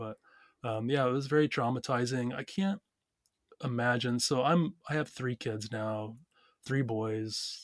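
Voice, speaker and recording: A man's normal speaking voice, medium in pitch with ordinary pitch variation and an American accent. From Ozarks, USA. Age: 40s. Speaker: entrepreneur. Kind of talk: interview answer.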